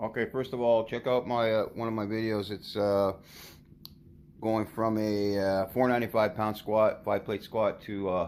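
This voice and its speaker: In a very clean recording with a silent background, a man with a fairly low voice speaks at a moderate pace in a flat monotone. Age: 60s. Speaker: powerlifter. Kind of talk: tutorial. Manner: halting.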